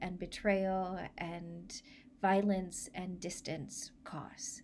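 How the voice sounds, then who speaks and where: Over light background noise, a woman speaks at a very slow pace in a gentle, solemn tone. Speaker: church minister leading a service. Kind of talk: blessing prayer, pastoral benediction. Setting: online church video. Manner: slow, gentle and solemn, measured pastoral cadence; warm, reflective, reassuring. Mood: warm, gentle, smiling. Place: home room. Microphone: phone near.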